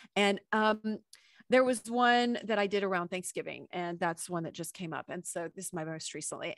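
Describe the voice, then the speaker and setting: A woman with a normal speaking voice at a moderate pace and ordinary pitch variation, in a very clean recording with a silent background and a dry, close sound with no echo. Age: 40s. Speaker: podcast host and radio personality. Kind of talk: interview answer.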